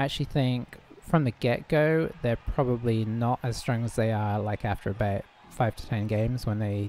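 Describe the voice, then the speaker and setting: A man with a British accent speaks at a moderate pace and medium pitch. His tone is dark and mellow, his intonation fairly even. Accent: still pretty British. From UK. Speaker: gaming streamer. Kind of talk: gameplay commentary. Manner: casual, hesitant with fillers.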